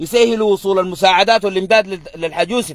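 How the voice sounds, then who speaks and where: The speaker has a Sudanese accent and an animated tone at a fairly quick pace. The sound is dry and close, with no echo. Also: man. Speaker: political commentator. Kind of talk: political monologue.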